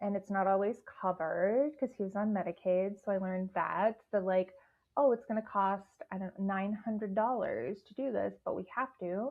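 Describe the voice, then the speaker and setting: Speaking at a moderate pace with a Midwestern accent, a woman uses a medium pitch with ordinary variation and big swings in loudness. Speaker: guest sharing sobriety and leadership story. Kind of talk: podcast interview.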